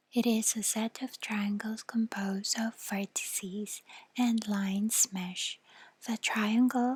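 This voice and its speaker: A very slow, somewhat breathy woman's voice, fairly high and monotone, with a dry, close sound and no echo. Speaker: vtuber, ASMR streamer. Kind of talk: ASMR reading of a software tutorial. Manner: soft-spoken, slow, hesitant.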